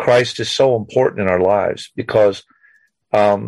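A man's vocal fry at a moderate pace, with fairly even intonation. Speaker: military veteran and caller. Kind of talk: casual chat. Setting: phone call.

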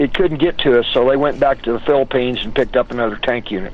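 A man with an American accent at a very fast pace, amid noticeable background noise. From West Texas (Odessa). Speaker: political talk show guest. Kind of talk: casual chat.

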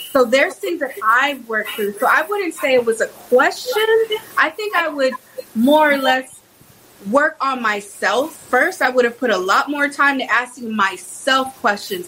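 A woman with an American accent talks in a raised, projected voice at a fairly slow pace, her high pitch moving in very wide swings. Noticeable background noise runs under her. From Texas, Houston. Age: 30s. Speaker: conservative activist. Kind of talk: casual chat.

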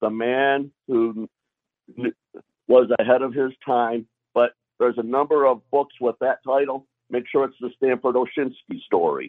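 A man with an American accent speaks at a medium pitch in a monotone, flat way. His pace is fairly slow, broken by long, frequent pauses. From US Midwest, Michigan. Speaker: caller. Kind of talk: casual chat. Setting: video call.

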